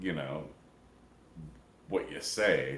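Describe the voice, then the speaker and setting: Speaking at a fairly slow pace with an American accent, a man is heard with audible room echo. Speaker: podcast host. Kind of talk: casual chat. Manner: casual, halting.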